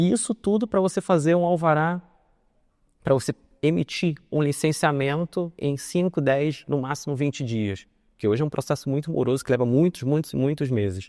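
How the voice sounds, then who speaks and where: This man has a dark, mellow tone and a fairly high pitch, with a Carioca accent. His intonation is lively, and the sound is dry and close with no echo. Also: moderate pace, very clean recording, silent background. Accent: carioca (Rio) accent, chiado S. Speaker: legal consultant, conference speaker. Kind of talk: conference talk.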